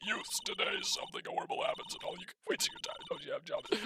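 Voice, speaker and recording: Putting on a character voice, a man talks at a very fast pace in an extremely high, raspy pitch. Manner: scolding.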